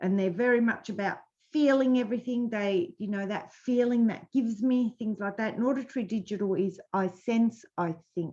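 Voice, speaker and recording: A woman's fairly high, somewhat breathy voice at a moderate pace, with ordinary pitch variation and hardly any pauses. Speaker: business coach. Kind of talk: webinar presentation. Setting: live webinar.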